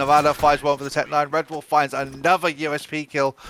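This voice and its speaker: Amid noticeable background noise, a man with a British accent talks at a fairly quick pace and a fairly high pitch. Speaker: esports commentator. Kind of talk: live commentary. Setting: online stream. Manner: fast.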